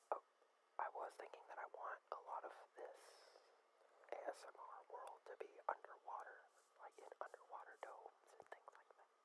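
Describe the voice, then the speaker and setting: Someone whispers at a moderate pace. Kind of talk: ASMR gaming playthrough narration. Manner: soft-spoken, relaxed.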